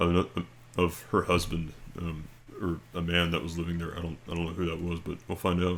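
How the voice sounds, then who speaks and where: Quietly and at a moderate pace, a man speaks in a very deep, low voice. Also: very clean recording, silent background. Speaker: video creator. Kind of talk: casual storytelling and reading aloud. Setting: at home late at night. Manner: speaking quietly; halting, many fillers and repeats.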